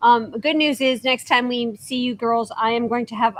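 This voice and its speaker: A woman's fairly high, unremarkable speaking voice at a moderate pace. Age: 60s. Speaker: sewing shop owner, teacher. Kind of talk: casual livestream chat.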